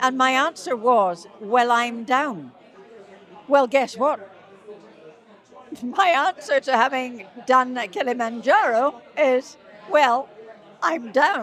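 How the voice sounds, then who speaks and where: A woman with a high pitch speaks at a very slow pace, with lively intonation and long, frequent pauses. Crowd noise fills the background. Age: 70s. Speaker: charity climber. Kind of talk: anecdote in interview. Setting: event venue with crowd.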